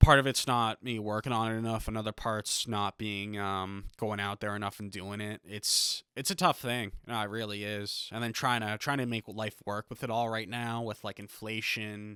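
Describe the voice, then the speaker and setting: A man's bright, sharp voice in a flat monotone, with a dry, close sound and no echo. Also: moderate pace. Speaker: aspiring stand-up comedian. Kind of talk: casual solo podcast talk. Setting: home basement.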